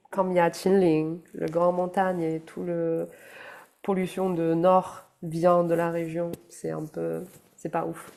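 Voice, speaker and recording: In a Chinese accent, a woman speaks very slowly in a fairly low pitch with a dark, mellow tone and monotone, flat intonation. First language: Chinese (speaking French). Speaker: animation art director. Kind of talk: casual chat. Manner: halting.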